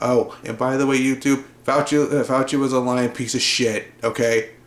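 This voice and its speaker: A man's medium-pitched voice in a monotone, flat delivery. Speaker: gaming YouTuber. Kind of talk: rant. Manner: fast; halting, repeats words.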